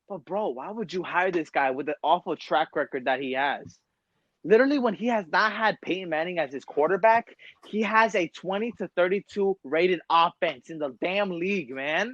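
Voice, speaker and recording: Dry and close with no echo, this recording has a man speaking at a moderate pace in a high pitch for a man, with lively intonation. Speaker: sports podcast host. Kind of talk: casual chat. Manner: animated.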